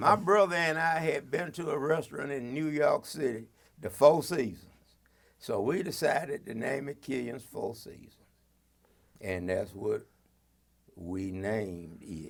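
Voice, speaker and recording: A man's fairly high voice carries vocal fry, with very wide pitch swings and big shifts in loudness. He talks fairly slowly, leaving long, frequent pauses. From Athens, Georgia, US South. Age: 80s+. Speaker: retired police officer and reverend. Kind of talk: oral history interview.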